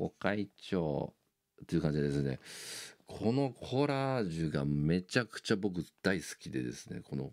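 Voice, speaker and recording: A man with a very deep, low voice and very wide pitch swings, fairly slow, against a quiet background. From Japan. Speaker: YouTuber and bassist; YouTuber. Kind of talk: casual monologue. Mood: enthusiastic fan talk. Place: home room. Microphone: phone near.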